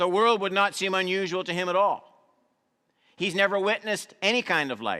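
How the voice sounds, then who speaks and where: A man with a high pitch projects his raised voice in a bright, sharp tone on a very clean recording with a silent background. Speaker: pastor. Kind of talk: sermon.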